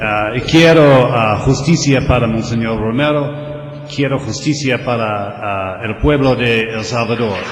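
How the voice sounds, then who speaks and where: Amid audible room echo and noticeable background noise, a man at a medium pitch speaks at a very slow pace with hardly any pauses and ordinary pitch variation. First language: English (speaking Spanish). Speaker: lawyer. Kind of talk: panel discussion. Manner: halting.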